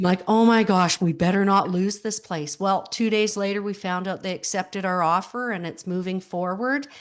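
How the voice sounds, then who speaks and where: With a Canadian accent, a woman talks at a moderate pace in a plain, everyday voice of medium pitch against a quiet background. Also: hardly any pauses. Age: 60s. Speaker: grief support coach, widow. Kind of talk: interview conversation.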